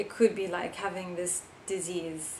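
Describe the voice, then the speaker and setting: Spoken at a fairly slow pace in an American accent, this recording has audible room echo and noticeable background noise. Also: woman. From New York. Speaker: vlogger, author and musician. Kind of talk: casual vlog. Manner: hesitant, many fillers.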